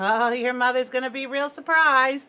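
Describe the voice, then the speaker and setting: Using a put-on character voice, a woman speaks at a moderate pace and high pitch with fairly even intonation. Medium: read story.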